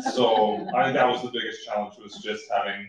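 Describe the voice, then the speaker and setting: A man's voice with audible room echo. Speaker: documentary filmmaker. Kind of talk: panel discussion. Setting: stage with audience. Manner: loud.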